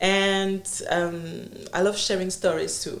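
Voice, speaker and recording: Audible room echo fills the space. A woman talks within it at a medium pitch. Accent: French. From Congo. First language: French. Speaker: entrepreneur and consultant. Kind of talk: interview conversation. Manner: halting.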